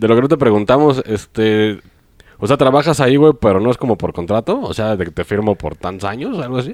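The sound is dry and close with no echo as a man with an ordinary speaking voice, medium in pitch, talks at a fairly quick pace with lively intonation. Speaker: podcast co-host. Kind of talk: casual chat.

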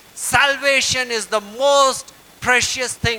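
A man speaks in a raised, projected voice. His intonation stays fairly even. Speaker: pastor. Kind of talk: sermon.

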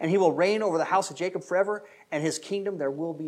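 This reading is delivered in an unforced reading voice.

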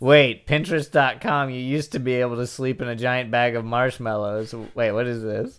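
An unremarkable speaking voice moves at a moderate pace with fairly even intonation, on a very clean recording with a silent background. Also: man. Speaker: podcast co-host. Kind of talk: casual comedic banter podcast.

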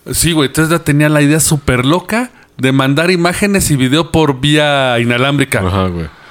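A man with a fairly high voice talks at a moderate pace, his intonation lively and his loudness very even. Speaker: podcast host. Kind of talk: casual chat. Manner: animated.

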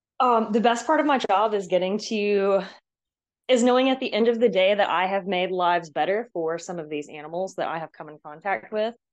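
A woman talks fairly quickly in a normal speaking voice with an American accent. Her pitch is medium. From US Southeast (Georgia). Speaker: obstacle course racer. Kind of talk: casual chat. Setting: audio call.

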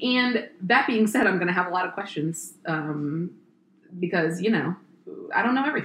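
A woman with an American accent speaks at a moderate pace in a medium pitch, her tone animated and her intonation lively, over noticeable background noise. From Frederick, Maryland. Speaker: realtor and podcast host. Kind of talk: casual chat.

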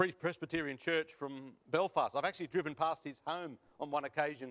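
At a moderate pace, a man with an Australian accent speaks in a fairly high pitch and fairly even intonation, the sound dry and close with no echo. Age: 50s. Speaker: preacher. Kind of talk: sermon. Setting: church.

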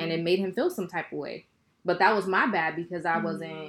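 A woman talks in a fairly low pitch with ordinary pitch variation. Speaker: podcast co-host. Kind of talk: casual chat. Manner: loud when passionate.

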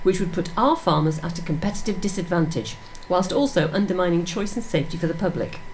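A woman at medium pitch rattles along at a very fast pace over noticeable background noise. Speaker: radio presenter. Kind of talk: casual radio chat. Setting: studio.

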